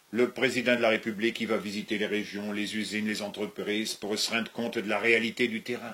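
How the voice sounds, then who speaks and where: This man talks at a fairly quick pace with hardly any pauses, his medium-pitched voice bright and sharp in tone but flat and monotone in intonation. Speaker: comedian. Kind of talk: comic sketch dialogue.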